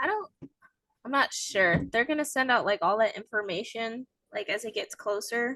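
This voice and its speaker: This woman has an unremarkable speaking voice, fairly high in pitch with ordinary pitch variation, delivered at a moderate pace in a dry, close sound with no echo. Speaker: podcast host. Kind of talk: casual chat. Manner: casual, filler-heavy.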